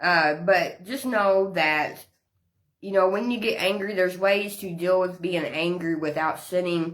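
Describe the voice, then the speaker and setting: Speaking at a fairly slow pace with fairly even intonation, a woman talks in a Southern US accent. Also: medium pitch for a woman. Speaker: women's ministry leader. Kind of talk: livestream devotional talk. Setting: live social media stream.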